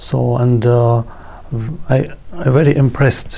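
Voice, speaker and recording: Spoken with a Russian accent at a very slow pace, the clip carries noticeable background noise. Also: man. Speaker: yoga guru. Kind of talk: interview. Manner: halting, many fillers.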